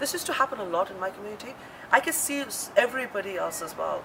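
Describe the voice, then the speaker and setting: A woman's pitch varies in an ordinary way while noticeable background noise plays behind her. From India. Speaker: chef and restaurant owner. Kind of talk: interview.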